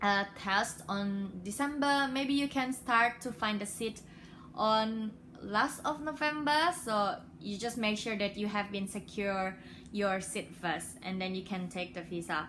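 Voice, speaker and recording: A woman with an Indonesian accent speaks fairly slowly at a medium pitch, her bright, sharp tone paired with lively intonation. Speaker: international graduate vlogger. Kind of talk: casual tutorial vlog. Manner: hesitant, many fillers.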